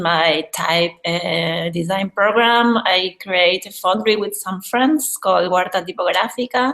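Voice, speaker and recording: Fairly slow but with hardly any pauses, a woman of medium pitch speaks in a Spanish accent with ordinary pitch variation. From Argentina, Buenos Aires. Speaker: graphic and type designer. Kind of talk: casual chat. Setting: video call.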